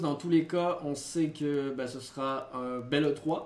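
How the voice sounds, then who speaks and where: Audible room echo surrounds a man's voice. He has a fairly high pitch and ordinary pitch variation. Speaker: gaming podcast co-host. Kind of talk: casual chat; news reading.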